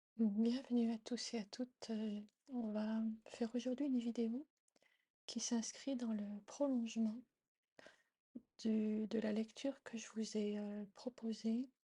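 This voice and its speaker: A soft-spoken woman talks at a very slow pace, with long, frequent pauses and monotone, flat intonation. Her fairly high-pitched voice is somewhat breathy, with a dark, mellow tone. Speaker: tarot reader and meditation guide. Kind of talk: casual intro to camera. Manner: soft-spoken during meditations; halting, many fillers.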